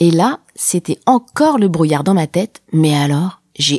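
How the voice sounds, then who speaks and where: In a dry, close sound with no echo, a woman talks in an animated tone at a fairly low pitch, with lively intonation and very even loudness. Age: 30s. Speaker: podcaster. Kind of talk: personal storytelling.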